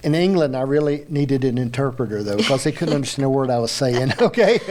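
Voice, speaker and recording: There is noticeable background noise. A man talks at a very fast pace with a strong Appalachian accent. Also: medium pitch for a man, ordinary pitch variation. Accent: thick Appalachian. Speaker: interview show host. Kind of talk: casual interview chat.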